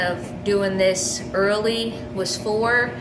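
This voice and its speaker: Room echo can be heard and background noise stands out while a woman talks at a fairly high pitch. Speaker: vlogger, expectant first-time mother. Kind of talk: casual vlog. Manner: casual, filler-heavy; halting, self-correcting.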